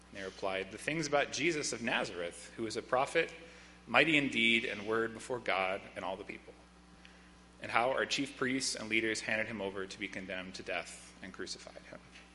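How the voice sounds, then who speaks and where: A man talks at a fairly quick pace with ordinary pitch variation and big swings in loudness. Noticeable background noise runs behind him. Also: medium pitch for a man. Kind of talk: reading aloud. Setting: church.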